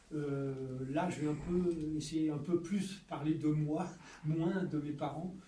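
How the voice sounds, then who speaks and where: Amid noticeable background noise and audible room echo, a man talks very slowly in a fairly high voice with fairly even intonation. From France. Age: 70s. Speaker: author. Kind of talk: testimony. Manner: halting.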